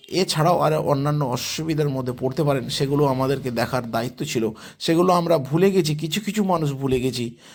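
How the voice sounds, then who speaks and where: Pitch shifts in an ordinary way here. It comes from a plain, everyday voice. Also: man, fairly high pitch for a man. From West Bengal, Hooghly district. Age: 50s. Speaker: vlogger. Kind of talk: vlog walkthrough.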